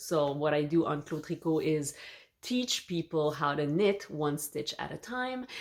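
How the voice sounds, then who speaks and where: A woman with a very deep, low pitch and a Quebec accent. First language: French. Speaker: knitting youtuber and teacher. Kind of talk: casual vlog introduction. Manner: hesitant, with fillers.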